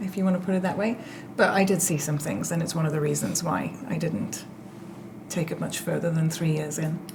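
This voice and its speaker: A woman speaks at a moderate pace in a fairly low pitch, with ordinary pitch variation and audible room echo. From Zimbabwe and South Africa. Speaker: tech security executive. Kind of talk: casual chat.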